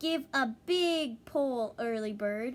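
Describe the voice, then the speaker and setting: A woman pitches her voice high in a put-on character voice. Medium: read story. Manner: kind, encouraging.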